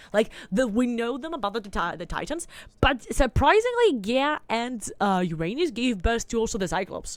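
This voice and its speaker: Speaking at a moderate pace with a Greek accent, a woman uses a fairly high pitch, lively intonation, an animated tone and big swings in loudness. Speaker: gaming streamer. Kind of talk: casual chat. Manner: rambling, animated.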